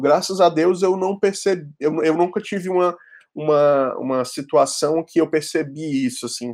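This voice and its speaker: A man talks at a moderate pace and a fairly high pitch on a very clean recording with a silent background. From Ceará, Fortaleza (Brazilian Northeast). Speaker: graphic designer. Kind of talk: casual chat.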